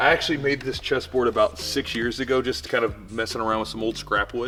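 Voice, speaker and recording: A man's speech moves along fairly quickly. Behind him, music can be heard. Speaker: jiu-jitsu gym owner and instructor. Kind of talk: casual talk to camera, gym tour. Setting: large indoor gym, camera mic.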